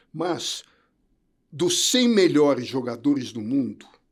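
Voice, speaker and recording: Lively intonation from a man with a fairly high pitch. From Brazil, São Paulo. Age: 70s. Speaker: entrepreneur and former tennis coach. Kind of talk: interview conversation. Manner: halting, with repetitions.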